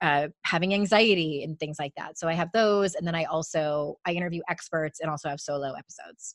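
A woman talks fairly quickly in an animated tone, with hardly any pauses. The sound is dry and close, with no echo. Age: 40s. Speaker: author and life coach. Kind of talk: casual interview chat. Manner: high-energy, animated.

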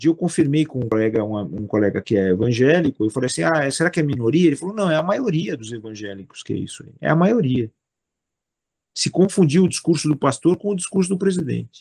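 The man's pitch is fairly high, with very wide pitch swings and big swings in loudness. He goes at a fairly quick pace, and the sound is dry and close with no echo. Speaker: philosopher and judge. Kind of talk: interview conversation. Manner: repetitive fillers and false starts.

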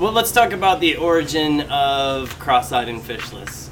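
Noticeable background noise sits behind the speech. The pace is fairly slow, with ordinary pitch variation. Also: man. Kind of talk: casual chat. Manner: laughs often.

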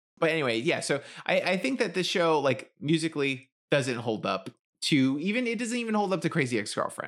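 In an American accent, the speaker moves at a fairly quick pace with very wide pitch swings, on a very clean recording with a silent background. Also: man, fairly high pitch for a man. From US, grew up in the projects. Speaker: podcast co-host. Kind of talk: casual chat.

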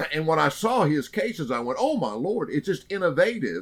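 A man speaks with an American accent. His pitch is high. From Oklahoma. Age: 60s. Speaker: hunting TV personality. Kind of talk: interview storytelling.

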